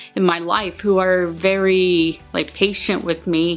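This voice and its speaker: A woman speaks at a medium pitch and a very slow pace, with fairly even intonation. Music plays in the background. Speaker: vlogger. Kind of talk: casual talk to camera.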